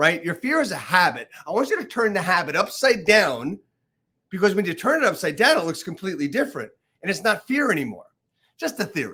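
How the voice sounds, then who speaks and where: The voice is raised and projected, bright and sharp in tone, at a fairly quick pace with very wide pitch swings. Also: man, high pitch for a man. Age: 60s. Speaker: real estate coach and podcast host. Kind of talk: casual interview chat.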